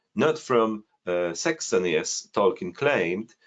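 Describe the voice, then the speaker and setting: A man speaks with a Polish accent at a fairly slow pace. His pitch swings very widely. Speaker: amateur genealogy researcher. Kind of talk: screen-share presentation. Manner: halting, many fillers.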